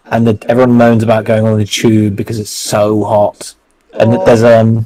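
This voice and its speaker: In a London accent, a man speaks at a moderate pace and medium pitch with monotone, flat intonation. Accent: southern English (London). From England. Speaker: co-host of trading livestream. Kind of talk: casual chat.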